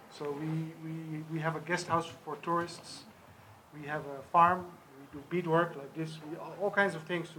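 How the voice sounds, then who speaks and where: Noticeable background noise and audible room echo surround a man speaking at a fairly high pitch with fairly even intonation. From Netherlands. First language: sign language. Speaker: charity organizer. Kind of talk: press conference.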